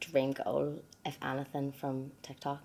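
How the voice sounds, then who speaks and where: A woman with a Northern Irish accent speaks at a fairly slow pace in a very deep, low voice. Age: 20s. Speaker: podcast host. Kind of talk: casual chat.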